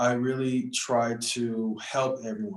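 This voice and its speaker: Medium-pitched man with an American accent. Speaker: youth activist, former student council member. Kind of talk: panel discussion. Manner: casual, many fillers (um, you know).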